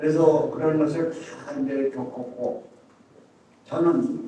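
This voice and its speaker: A man talks very slowly while noticeable background noise and audible room echo fill the recording. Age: 80s+. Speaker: retired military officer and church elder. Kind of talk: speech of encouragement. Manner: hesitant, many fillers.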